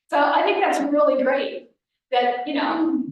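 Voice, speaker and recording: A high-pitched woman with audible room echo. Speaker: scouting volunteer trainer. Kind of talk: presentation to volunteers. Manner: fast.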